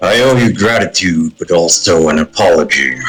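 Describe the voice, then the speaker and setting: A raspy, put-on character voice with lively intonation at a moderate pace. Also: man, very deep, low pitch for a man. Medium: actual play. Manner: gruff, dry.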